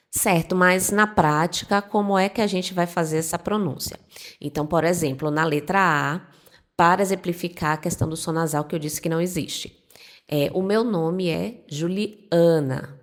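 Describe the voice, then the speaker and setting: With a northeastern Brazilian accent, a woman speaks in a relaxed tone at a fairly low pitch. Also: ordinary pitch variation, moderate pace. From Northeast Brazil. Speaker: Spanish teacher. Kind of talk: tutorial. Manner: relaxed, conversational.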